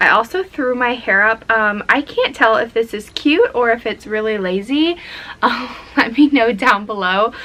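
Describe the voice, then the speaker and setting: With noticeable background noise, a woman talks at a moderate pace in a fairly high pitch with ordinary pitch variation. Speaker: lifestyle vlogger. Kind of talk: casual vlog talk to camera.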